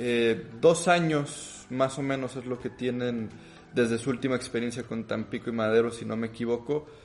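Using a plain, everyday voice, a man speaks at a moderate pace with a medium pitch and fairly even intonation. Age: 20s. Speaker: podcast host. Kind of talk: interview.

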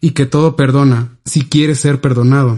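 The tone is dark and mellow. The intonation stays fairly even. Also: man. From Mexico, Oaxaca (Ixhuatán). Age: 20s. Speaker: history student. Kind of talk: reading aloud.

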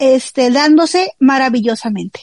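Recorded with a dry, close sound and no echo, a woman speaks at a fairly slow pace with ordinary pitch variation. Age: 20s. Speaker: podcast co-host. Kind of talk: casual chat.

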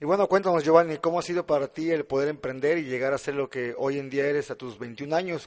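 With an ordinary speaking voice, a man talks at a fairly quick pace in a fairly high pitch with ordinary pitch variation. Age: 20s. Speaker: podcast host and entrepreneur. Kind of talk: interview.

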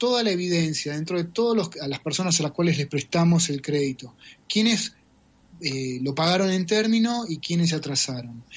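With an Argentine accent, a man speaks at a moderate pace in a high voice with lively intonation. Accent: Rioplatense Argentine Spanish. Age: 40s. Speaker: data scientist. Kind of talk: interview.

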